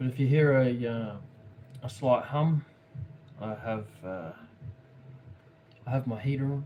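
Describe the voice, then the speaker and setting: Amid noticeable background noise, a man with an Australian accent speaks at a medium pitch and a fairly slow pace, with ordinary pitch variation and long, frequent pauses. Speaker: craft livestreamer. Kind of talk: casual livestream commentary while painting. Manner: halting, many fillers and repeats.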